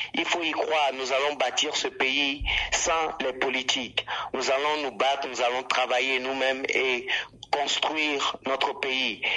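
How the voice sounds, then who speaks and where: The voice is monotone and flat, delivered at a very slow pace. Noticeable background noise is present. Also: man, medium pitch for a man. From Togo. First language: Ewe (speaking French). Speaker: rapper. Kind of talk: radio interview.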